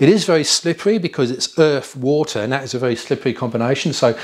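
A man with ordinary pitch variation in front of a quiet background. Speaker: off-road driving instructor. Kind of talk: lecture. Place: studio. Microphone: lapel.

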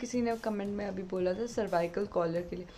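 With light background noise behind her, a woman talks at a moderate pace in a dark, mellow tone. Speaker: vlogger. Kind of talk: casual vlog chat. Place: home room. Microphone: phone near.

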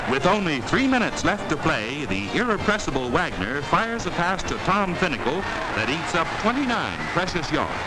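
The speech moves at a moderate pace. Loud background noise is heard throughout. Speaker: newsreel narrator. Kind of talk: newsreel narration. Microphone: old recording.

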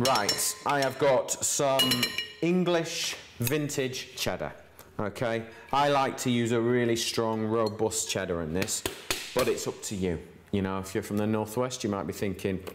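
Against noticeable background noise, a man speaks at a fairly slow pace. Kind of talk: cooking tutorial. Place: kitchen.

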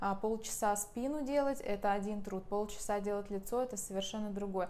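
A woman keeps a moderate pace and a fairly even intonation. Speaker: massage trainer. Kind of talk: tutorial. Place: home room. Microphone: lapel.

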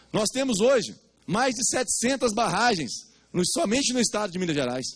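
A man is speaking. The background is quiet. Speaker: guest. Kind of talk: public hearing speech. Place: meeting room. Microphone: handheld.

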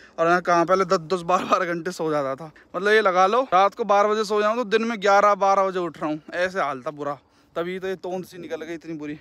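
Speaking at a fairly quick pace, a man with a high pitch and ordinary pitch variation has a bright, sharp tone in a dry sound with no echo. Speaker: village vlogger. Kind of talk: casual vlog chat. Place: open country. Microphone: phone near.

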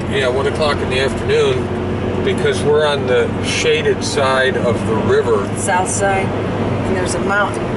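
Amid loud background noise, a man talks at a fairly slow pace. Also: dry sound with no echo. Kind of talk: casual travel commentary. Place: car. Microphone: phone near.

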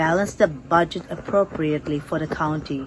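A woman speaks with a fairly low pitch. Noticeable background noise can be heard. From India, grew up in Shillong, Meghalaya (Naga family); India. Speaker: local election candidate; election candidate. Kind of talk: interview. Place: garden.

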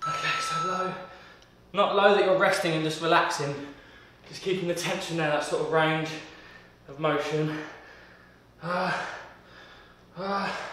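High-pitched man at a fairly slow pace, fairly even intonation and long, frequent pauses, with audible room echo and light background noise. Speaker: fitness trainer. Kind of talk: workout instruction. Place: home room.

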